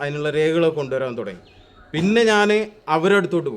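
A man talks with lively intonation. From Kerala, Malappuram district. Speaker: local resident, expatriate worker. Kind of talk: interview. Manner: halting.

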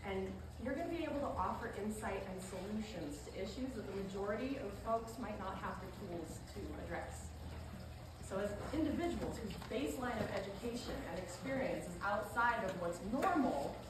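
A woman talks at a fairly quick pace and medium pitch with lively intonation. Audible room echo and clear background noise accompany her.

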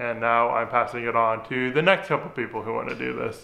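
Fairly quick speech from a man. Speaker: DIY restoration vlogger. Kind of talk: casual vlog chat. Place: garage.

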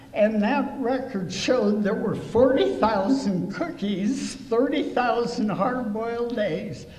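The speech moves at a slow pace with lively intonation and a slightly mellow tone, carried by strong room echo. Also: woman, fairly high pitch for a woman.

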